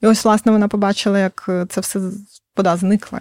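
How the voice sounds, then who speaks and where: On a dry, close recording with no echo, a woman speaks fairly quickly at a medium pitch. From northern Crimea, Ukraine. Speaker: fantasy novelist. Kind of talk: interview.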